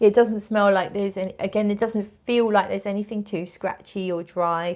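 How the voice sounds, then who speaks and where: A woman's medium-pitched voice, flat and monotone, at a fairly quick pace, on a very clean recording with a silent background. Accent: British. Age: 40s. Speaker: fragrance vlogger. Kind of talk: casual livestream chat, reading viewer comments. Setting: fragrance event in a shop.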